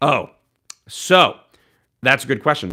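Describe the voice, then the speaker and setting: A man speaks in an animated tone at a fairly slow pace. The recording is very clean, with a silent background. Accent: American. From US Northeast, Philadelphia. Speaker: live streamer. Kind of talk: casual live stream chat.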